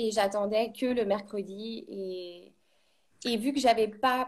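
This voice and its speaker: At a fairly slow pace, a woman talks in an unremarkable speaking voice, fairly high in pitch with ordinary pitch variation. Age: 30s. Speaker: ceramic artist. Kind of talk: interview.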